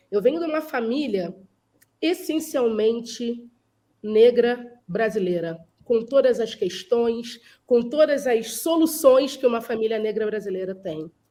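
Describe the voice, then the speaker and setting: Fairly high in pitch with a dark, mellow tone, a woman speaks fairly slowly with lively intonation. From Brazil, Rio de Janeiro. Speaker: culture and behavior specialist. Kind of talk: panel discussion.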